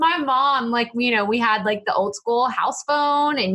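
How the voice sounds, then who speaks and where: A woman with an American accent talks at a high pitch in an animated tone with lively intonation. Noticeable background noise runs behind her. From East Texas. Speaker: podcasting coach. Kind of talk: interview chat.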